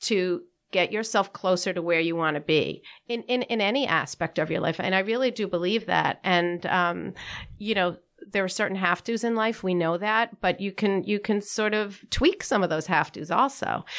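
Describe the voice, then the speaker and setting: A woman's plain, everyday voice, medium in pitch with ordinary pitch variation, at a moderate pace on a very clean recording with a silent background. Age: 60s. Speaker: weight-loss and lifestyle coach. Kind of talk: casual interview.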